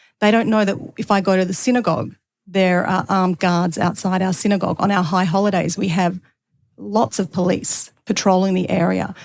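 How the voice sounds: A woman's medium-pitched voice with vocal fry, a slightly mellow tone, fairly even intonation, and a moderate pace.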